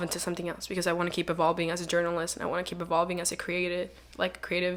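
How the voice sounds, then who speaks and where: A woman talks at a very fast pace in a fairly low voice. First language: Spanish. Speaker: online magazine founder and journalist. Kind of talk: casual podcast interview. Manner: casual, filler-heavy.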